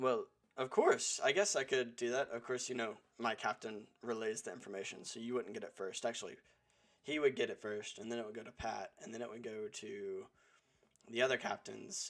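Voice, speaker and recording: A raspy, put-on character voice from a man, medium in pitch and fairly quick in pace. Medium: actual play. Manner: rambling, hesitant.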